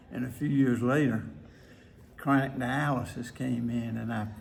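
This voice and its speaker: In a Mississippi accent, a man of medium pitch speaks at a moderate pace with monotone, flat intonation. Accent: Southern US (Mississippi). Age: 80s+. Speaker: retired nephrologist. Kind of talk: interview answer.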